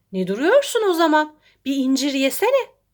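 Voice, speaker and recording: A woman's put-on character voice, squeaky and high-pitched with a warm tone, at a moderate pace with very wide pitch swings. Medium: read story. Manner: warm, kindly.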